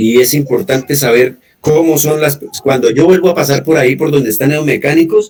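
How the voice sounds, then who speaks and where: Music plays in the background as a man talks at a fairly quick pace. His pitch is fairly high, with ordinary variation. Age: old. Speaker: guest in community conversation. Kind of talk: casual chat.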